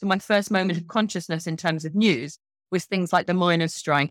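A woman's unremarkable speaking voice, fairly low in pitch, at a fairly quick pace with fairly even intonation. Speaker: journalist and author. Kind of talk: guest interview with audience Q&A. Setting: video call webinar.

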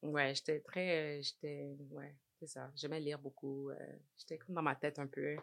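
Speaking at a fairly slow pace, a woman talks in a very deep, low voice with monotone, flat intonation. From Montreal, Quebec (Saint-Michel). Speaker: interventional cardiologist. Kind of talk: casual interview chat.

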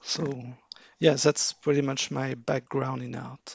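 This is a man with a French accent. His pitch is medium. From France. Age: 40s. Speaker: artwork analyst and card game fan. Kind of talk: casual interview. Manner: halting, many fillers.

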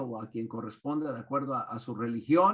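A man talks with a bright, sharp tone. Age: 60s. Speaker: business consultant and author. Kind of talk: webinar lecture.

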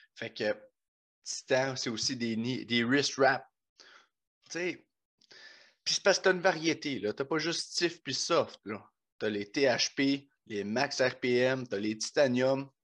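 A man speaks at a medium pitch with ordinary pitch variation. He goes at a very slow pace, with long, frequent pauses, over a quiet background. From Quebec, Bas-Saint-Laurent. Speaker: podcast host, powerlifter. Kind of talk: sponsor read; casual chat. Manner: animated.

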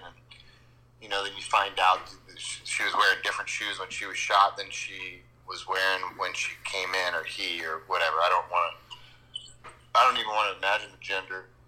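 With an American accent, a man talks at a fairly quick pace, his loudness swinging a lot over noticeable background noise. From Washington State. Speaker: armed activist. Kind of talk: casual chat. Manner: halting.

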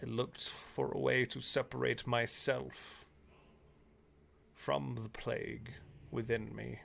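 Putting on a gravelly character voice, a man speaks in a solemn tone at a fairly slow pace, with long, frequent pauses. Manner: solemn, ominous.

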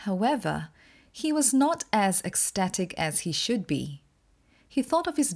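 Somewhat breathy and warm in tone, a woman speaks at a fairly slow pace. Her pitch swings very widely, in a very clean recording with a silent background. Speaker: podcast host and storyteller. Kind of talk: folk tale narration, storytelling in a measured, vivid, dramatic style; scripted podcast intro and outro. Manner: measured, expressive storyteller pacing; warm, friendly, informative.

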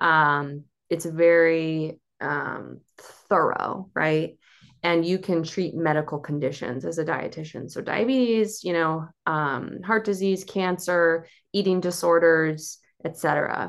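An unremarkable speaking voice, a woman's, fairly low in pitch, with an American accent, a fairly slow pace, ordinary pitch variation and a quiet background. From Cape Cod, Massachusetts. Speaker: dietitian. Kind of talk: casual interview chat.

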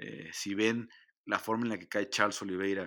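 A man with a fairly low pitch and a bright, sharp tone talks at a fairly quick pace with fairly even intonation, on a very clean recording with a silent background. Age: 40s. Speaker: MMA journalist and podcast host. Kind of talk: solo podcast commentary. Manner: hesitant with frequent fillers.

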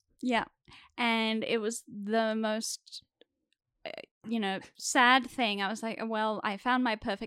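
Speaking fairly slowly in an Australian accent, a woman with a fairly high pitch and a bright, sharp tone sounds dry and close with no echo on a very clean recording against a silent background. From Sydney, Australia. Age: 20s. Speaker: actor. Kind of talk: casual chat.

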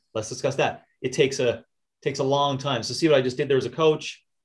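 Fairly high in pitch, a man's voice comes across somewhat breathy. He talks at a very fast pace. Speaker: fitness podcast co-host. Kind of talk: casual chat.

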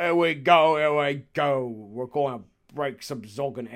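A man puts on a character voice at a fairly high pitch. He talks at a fairly slow pace. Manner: rowdy, aggressive.

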